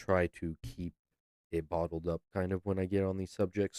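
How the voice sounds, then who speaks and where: Very deep and low in pitch, a man's strained voice has a dark, mellow tone and monotone, flat intonation, recorded dry and close with no echo. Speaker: music video reactor. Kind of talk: reaction video commentary. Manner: restrained.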